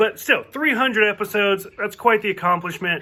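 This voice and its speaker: A man with an American accent is speaking. His pitch is high and his intonation lively. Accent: thick southern US accent, mostly covered up. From US South. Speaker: TV show reviewer. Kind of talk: casual video review. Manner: casual, filler-heavy.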